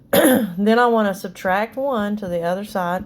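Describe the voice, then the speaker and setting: A woman speaks in an ordinary speaking voice, keeping a fairly slow pace and fairly even intonation. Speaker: math teacher. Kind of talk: tutorial.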